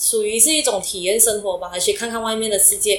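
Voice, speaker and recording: A woman's fairly high-pitched voice. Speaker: entrepreneur. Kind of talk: interview. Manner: halting.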